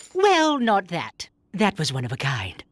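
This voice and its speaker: A female-sounding cartoonish character voice delivers its lines at a medium pitch. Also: moderate pace. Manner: polite, mild.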